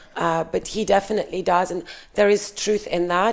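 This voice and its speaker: Noticeable background noise sits under the speech. The delivery is fairly slow. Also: woman. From Russia. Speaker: podcast guest. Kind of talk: casual interview chat. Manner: hesitant, many fillers.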